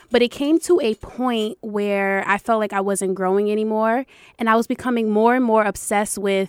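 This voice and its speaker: In an unremarkable speaking voice, the speaker goes at a moderate pace with ordinary pitch variation, and the sound is dry and close with no echo. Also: woman. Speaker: educational consultant and foundation founder. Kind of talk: interview.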